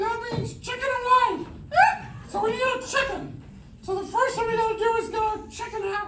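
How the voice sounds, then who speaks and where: Someone performs a put-on character voice at a fairly quick pace with long, frequent pauses. Loud background noise and a slight echo are present. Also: man, extremely high pitch for a man. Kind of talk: comic overacting. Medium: stage play. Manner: bawdy, campy.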